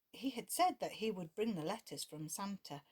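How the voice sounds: Natural-sounding reading voice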